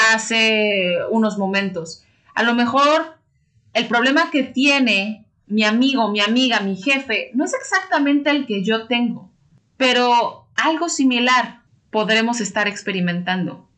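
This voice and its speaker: A woman's fairly high voice has a bright, sharp tone and lively intonation. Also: fairly slow pace. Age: 30s. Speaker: podcast host. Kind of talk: casual podcast monologue. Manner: warm, animated.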